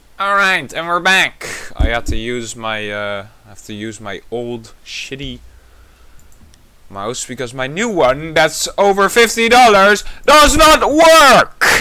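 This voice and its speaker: Speaking very slowly, a man with a high pitch and a bright, sharp tone moves through very wide pitch swings and big swings in loudness on a very clean recording with a silent background. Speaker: gaming video creator. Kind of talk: gameplay commentary. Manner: animated.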